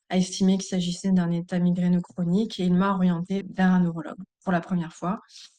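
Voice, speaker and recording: Very fast and monotone, a woman speaks at medium pitch in a dark, mellow tone with flat intonation and very even loudness. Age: 40s. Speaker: migraine patient giving testimony. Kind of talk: testimony.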